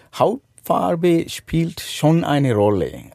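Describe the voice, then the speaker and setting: A man in a Sri Lankan accent, fairly high-pitched, very slow, with lively intonation, on a very clean recording with a silent background. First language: Sinhala (speaking German). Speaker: motorcycle adventurer. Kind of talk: interview. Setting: caravan at a campsite. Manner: halting.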